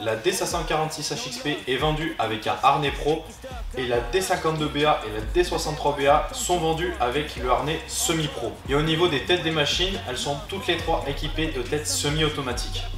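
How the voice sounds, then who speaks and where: Over clear background music, a man speaks at a fairly slow pace. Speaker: shop salesman. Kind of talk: product presentation. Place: shop.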